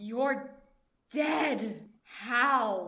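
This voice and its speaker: The speaker uses a put-on character voice with a fairly high pitch. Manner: distraught, crying out.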